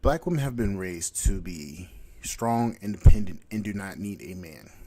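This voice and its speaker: A man with a dark, mellow tone speaks at a fairly low pitch and a moderate pace. His intonation is lively, with big swings in loudness. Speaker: podcast host. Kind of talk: solo commentary monologue. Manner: halting, stuttering.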